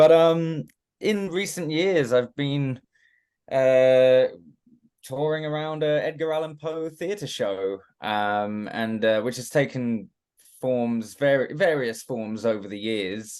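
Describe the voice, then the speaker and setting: Against a quiet background, a man speaks with a British accent and lively intonation. His pace is very slow. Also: medium pitch for a man. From England, Watford. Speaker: actor. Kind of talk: interview. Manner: halting, many fillers and restarts.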